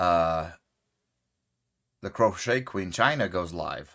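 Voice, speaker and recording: A man's very deep, low voice with a bright, sharp tone and ordinary pitch variation, on a very clean recording with a silent background. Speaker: crochet youtuber. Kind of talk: casual live stream chat. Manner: casual, conversational normal voice.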